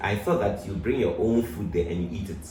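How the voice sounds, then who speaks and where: Audible room echo and noticeable background noise in a man's recording. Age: 60s. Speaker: pastor. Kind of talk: interview.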